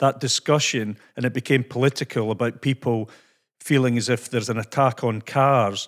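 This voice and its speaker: On a very clean recording with a silent background, a man speaks at a moderate pace and medium pitch with ordinary pitch variation. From Scotland. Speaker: podcast host. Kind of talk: casual interview chat.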